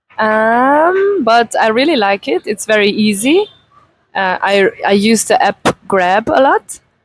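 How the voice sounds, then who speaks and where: In an Italian accent, a woman talks at a very slow pace. Her pitch is fairly high. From Italy. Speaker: beautician and massage therapist. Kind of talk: interview.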